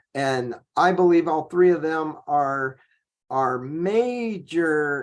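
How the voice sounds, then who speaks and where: A man's fairly high voice at a very slow pace, over a quiet background. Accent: American. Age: 60s. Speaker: firearms trainer and consultant. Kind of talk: podcast interview. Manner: hesitant, many fillers.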